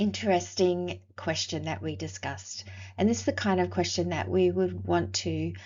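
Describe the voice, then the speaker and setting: A woman with an Australian accent at a moderate pace, plus audible room echo. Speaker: university lecturer. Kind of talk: recorded lecture.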